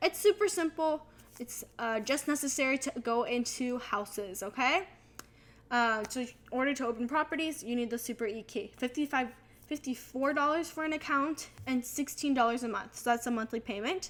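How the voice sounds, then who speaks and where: Her voice sits high and moves through a normal range of pitch. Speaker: real estate agent and video creator. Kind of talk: casual tutorial vlog. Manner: fast; animated.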